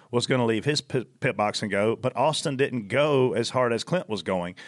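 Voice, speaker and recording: A man with a normal speaking voice, medium in pitch, at a fairly quick pace with ordinary pitch variation over a quiet background. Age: 40s. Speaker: NASCAR spotter. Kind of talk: casual chat.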